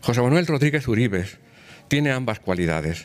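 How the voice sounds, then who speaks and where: Moving at a moderate pace, a man talks with very wide pitch swings. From rural Spain. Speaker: cultural institution president, former politician; former politician. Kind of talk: formal introduction speech. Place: hall. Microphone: podium.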